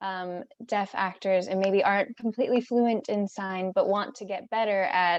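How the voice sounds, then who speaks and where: Using a normal speaking voice, a woman talks at a moderate pace with medium pitch and fairly even intonation. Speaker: acting class participant. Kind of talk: question in class discussion.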